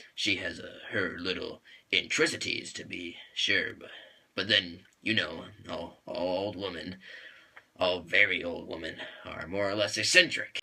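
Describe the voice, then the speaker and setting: A man does a raspy, put-on character voice with a fairly low pitch. He keeps a moderate pace while his loudness swings widely. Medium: solo performance. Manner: hesitant, full of uh.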